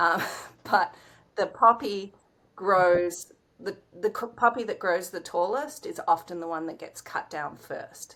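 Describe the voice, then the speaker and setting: A woman speaks at a medium pitch with a bright, sharp tone and ordinary pitch variation. Her pace is fairly slow, with long, frequent pauses and big swings in loudness. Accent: Australian. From Australia. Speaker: writer, director, actor. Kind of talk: interview answer.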